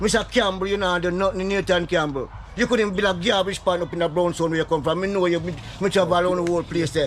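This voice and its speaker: A man with a high pitch talks at a very fast pace over noticeable background noise. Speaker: local resident. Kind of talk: impassioned complaint to vlogger. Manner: animated.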